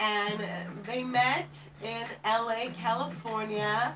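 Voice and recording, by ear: A woman at fairly high pitch, fairly bright in tone, slow in pace, with fairly even intonation and audible room echo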